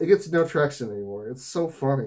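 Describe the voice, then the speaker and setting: A man's pitch swings very widely while his pace stays moderate. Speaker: gaming vlogger. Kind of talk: casual monologue vlog. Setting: wearing fursuit head. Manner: slurred words.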